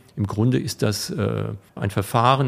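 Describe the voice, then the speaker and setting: A somewhat breathy voice at a fairly slow pace. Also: man. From Rhineland-Palatinate, Rheinhessen (Alzey). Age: 50s. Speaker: wine equipment business owner. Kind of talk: interview. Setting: studio.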